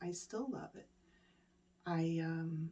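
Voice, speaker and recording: Speaking at a very slow pace, a woman has a fairly low pitch and a dark, mellow tone. Her voice is somewhat breathy. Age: 50s. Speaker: meditation teacher. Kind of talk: personal story.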